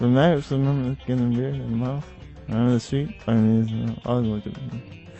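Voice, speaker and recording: With music in the background, a man mumbles in a put-on character voice at medium pitch and a moderate pace. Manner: mumbling.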